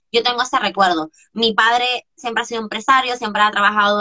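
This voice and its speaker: Her voice is high-pitched and animated. The woman speaks at a fairly quick pace. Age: 20s. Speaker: coach. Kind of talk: interview.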